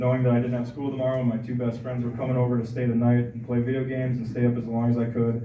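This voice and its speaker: Over noticeable background noise and audible room echo, a man with an American accent talks very fast at medium pitch. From US Midwest (Aberdeen, South Dakota). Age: 20s. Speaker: recovering alcoholic speaker. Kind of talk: recovery testimony speech.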